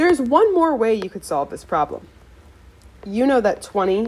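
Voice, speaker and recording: A woman is speaking. Her pitch swings very widely. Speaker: math teacher. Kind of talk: tutorial.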